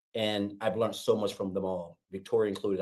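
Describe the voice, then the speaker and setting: Moving at a fairly quick pace, a man speaks in a dark, mellow tone. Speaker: online business affiliate, former welder. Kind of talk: testimony on live webinar. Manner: fast.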